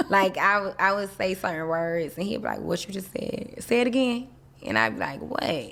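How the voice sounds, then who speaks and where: A woman with a Southern accent talks at a moderate pace. Her pitch is medium, and her intonation is lively. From US South, Miami. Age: 30s. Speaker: interview guest. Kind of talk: casual interview.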